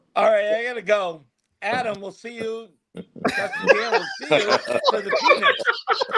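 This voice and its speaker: With a Boston accent, a man speaks at a fairly slow pace, his loudness swinging widely. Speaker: group conversation participant.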